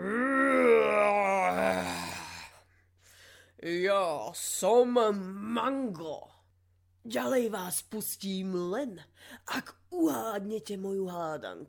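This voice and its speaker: A woman bellows in a put-on character voice at a medium pitch, leaving long, frequent pauses. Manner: roaring, mighty.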